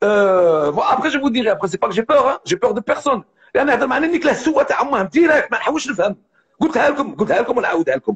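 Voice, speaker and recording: Speaking at a moderate pace, a man with an extremely high pitch uses an animated tone and very wide pitch swings. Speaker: live streamer. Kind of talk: casual live stream monologue. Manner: animated, repetitive.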